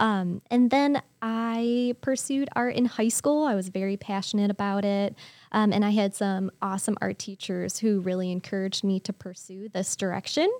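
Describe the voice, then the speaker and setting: Recorded very cleanly against a silent background, a woman with an American accent and an unremarkable speaking voice talks at a medium pitch and moderate pace with ordinary pitch variation. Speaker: artist. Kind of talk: casual chat.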